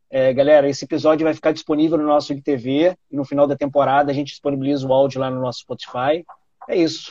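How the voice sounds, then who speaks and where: Delivered at a very fast pace, the voice has a dark, mellow tone and monotone, flat intonation in a dry, close sound with no echo. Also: man, fairly high pitch for a man. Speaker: podcast host, product manager. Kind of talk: casual chat.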